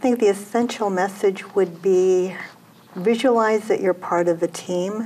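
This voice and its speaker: A woman with a medium-pitched voice speaks fairly slowly, her intonation fairly even and her loudness very even. Noticeable background noise runs underneath. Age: 60s. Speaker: author. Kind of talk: interview. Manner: halting.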